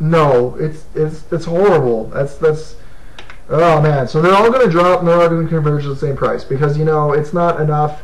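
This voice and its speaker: Noticeable background noise and audible room echo surround speech delivered at a fairly quick pace. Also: man. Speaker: gaming video host. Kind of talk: casual monologue. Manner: fast; animated.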